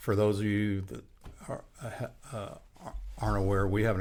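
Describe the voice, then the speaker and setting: Somewhat breathy, a man talks at a fairly slow pace with a fairly low pitch. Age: 70s. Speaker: union leader and podcast host. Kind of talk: casual podcast interview. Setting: podcast recording. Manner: halting, many fillers and restarts.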